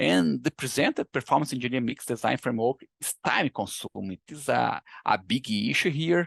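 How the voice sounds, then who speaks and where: Fairly quick and dry, close with no echo, this voice with a Brazilian Portuguese accent shows vocal fry and very wide pitch swings. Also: man, medium pitch for a man, hardly any pauses. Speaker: engineering researcher. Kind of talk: lecture. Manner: halting. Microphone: poor sound on his end.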